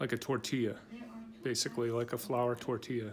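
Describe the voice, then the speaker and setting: Noticeable background noise is present. Against it, a man talks at a moderate speed. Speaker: restaurant reviewer. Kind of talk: casual vlog chat. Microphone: phone near.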